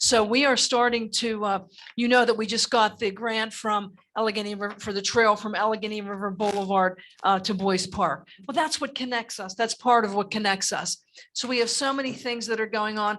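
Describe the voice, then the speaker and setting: Using a plain, everyday voice, a woman talks fairly quickly at a fairly high pitch with fairly even intonation. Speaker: mayor. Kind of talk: public comment at council meeting. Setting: council meeting room, streamed on Zoom.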